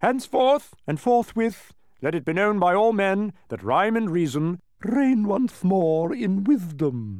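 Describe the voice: Putting on a character voice, a man speaks slowly in a high, slightly mellow tone with big pitch swings. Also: very clean recording, silent background.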